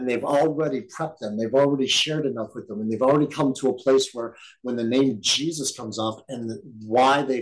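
An unremarkable speaking voice, this man talks at a fairly quick pace with medium pitch and ordinary pitch variation. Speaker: bible study teacher. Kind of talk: bible study teaching. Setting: recorded group session.

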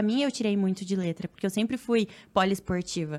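The recording is very clean and the background silent. A woman's dark, mellow tone carries ordinary pitch variation. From Paraná, Brazil (Cascavel, interior). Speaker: triathlete and influencer. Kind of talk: casual chat.

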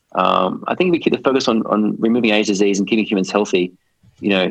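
Someone speaks at a very fast pace in an Australian accent. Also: man. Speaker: biotech investment executive. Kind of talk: interview.

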